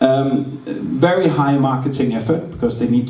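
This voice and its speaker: With audible room echo and noticeable background noise, a man talks fairly slowly at medium pitch. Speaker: game designer and publisher. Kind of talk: lecture. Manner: halting.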